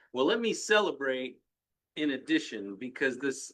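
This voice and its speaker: This man has an ordinary speaking voice, fairly high in pitch, with lively intonation. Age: 60s. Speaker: business owner, panel member. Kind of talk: casual panel discussion.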